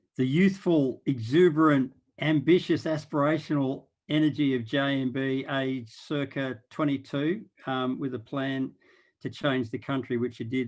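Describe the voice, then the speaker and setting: This is a man with an Australian accent. His pitch is medium. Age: 60s. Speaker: impact investor and board chair. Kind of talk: panel discussion.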